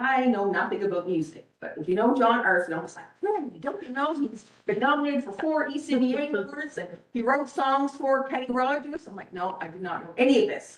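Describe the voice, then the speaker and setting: A woman speaks in an animated tone at a fairly quick pace, her high pitch swinging very widely and her loudness rising and falling sharply, with audible room echo and noticeable background noise. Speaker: school administrator presenting to town council. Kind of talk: presentation to council. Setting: council meeting. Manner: fast.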